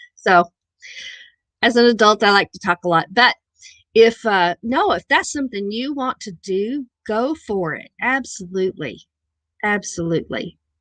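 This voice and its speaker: A woman with a Missouri accent speaks at a moderate pace and fairly high pitch, her intonation lively, her loudness swinging widely, with long, frequent pauses in a dry, close sound with no echo. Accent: own Missouri accent, sometimes noticeable. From southern Missouri, near Arkansas border. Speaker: live stream host. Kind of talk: casual chat.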